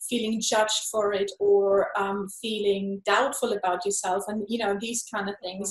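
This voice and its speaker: Speaking at a moderate pace and medium pitch, a woman has a non-native accent and monotone, flat intonation. Noticeable background noise runs underneath. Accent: noticeable foreign. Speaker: energy healer, meridian body worker. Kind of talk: interview answer.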